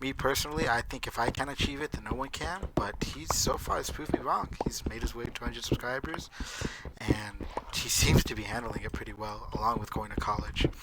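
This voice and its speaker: A man whispers at a fairly quick pace. Noticeable background noise runs behind him. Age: 20s. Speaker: gaming YouTuber. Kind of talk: casual gameplay commentary. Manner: casual, filler-heavy. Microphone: poor mic, background noise.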